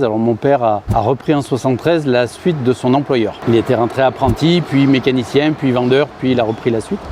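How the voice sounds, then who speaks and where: This is a man with a medium pitch. He talks at a moderate pace. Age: 60s. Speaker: farm machinery dealer executive. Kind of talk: interview. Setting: on-site at company building. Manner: halting, many hesitations.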